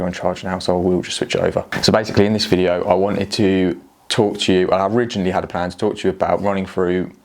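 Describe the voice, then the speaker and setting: Amid noticeable background noise, a man with a very deep, low pitch talks at a very fast pace in a monotone, flat intonation. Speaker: cycling vlogger. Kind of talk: casual vlog talk to camera. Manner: speaking quieter than usual.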